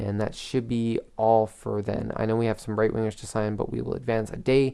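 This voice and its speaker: Quiet and dark, mellow in tone, a man speaks at a moderate pace with a fairly low pitch. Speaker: gaming commentator. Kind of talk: gameplay commentary.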